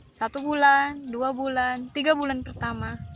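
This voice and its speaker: Through noticeable background noise, a woman's high-pitched voice comes across. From Poso, Central Sulawesi. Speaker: missionary worker. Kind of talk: casual storytelling chat.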